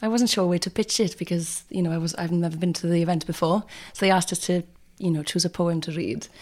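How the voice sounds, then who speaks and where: On a very clean recording with a silent background, a woman with a West Wales accent speaks at a very fast pace in a fairly low pitch. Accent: West Wales Welsh. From Wales, North Pembrokeshire. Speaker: actor and writer. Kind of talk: casual chat.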